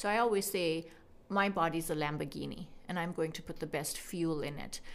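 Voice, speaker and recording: A woman with a Canadian accent speaks at a moderate pace and fairly low pitch, with audible room echo. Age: 40s. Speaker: physician. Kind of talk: interview.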